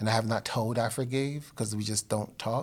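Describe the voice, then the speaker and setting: Using a monotone, flat intonation, a man talks at a fairly quick pace with an American accent. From New Jersey (Elizabeth). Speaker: podcast host. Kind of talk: solo monologue; casual interview.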